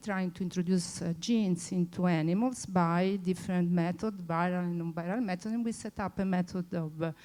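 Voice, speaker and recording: A woman's fairly low voice in an Italian accent, dark and mellow in tone, at a moderate pace with ordinary pitch variation. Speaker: former researcher, conference speaker. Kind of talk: conference talk. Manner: halting, many fillers.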